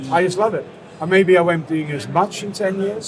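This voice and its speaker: Speaking with a British accent, a man moves at a fairly quick pace with ordinary pitch variation. Audible room echo and noticeable background noise fill the recording. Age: 60s. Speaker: cigar brand founder. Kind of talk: interview. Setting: trade fair.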